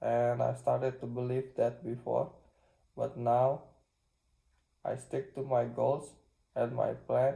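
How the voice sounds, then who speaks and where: A man with a non-native accent, at a very slow pace with long, frequent pauses. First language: not English. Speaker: self-improvement vlogger. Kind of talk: casual vlog monologue. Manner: halting.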